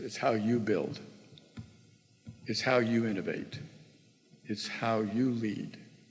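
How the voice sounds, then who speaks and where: A man's fairly low voice at a very slow pace with fairly even intonation, audible room echo and music in the background. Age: 70s. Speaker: former tech executive, guest speaker. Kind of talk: keynote talk to students.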